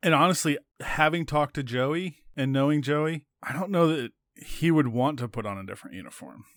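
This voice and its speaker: A man with a normal speaking voice talks fairly quickly at a fairly high pitch, with ordinary pitch variation and big swings in loudness. The sound is dry and close, with no echo. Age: 40s. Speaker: baseball beat writer. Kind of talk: casual chat.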